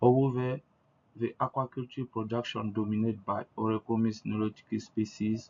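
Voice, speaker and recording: In an Ivorian accent, a man speaks at a medium pitch. His intonation is monotone and flat. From Ivory Coast. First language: French. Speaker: researcher. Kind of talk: conference presentation. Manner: halting.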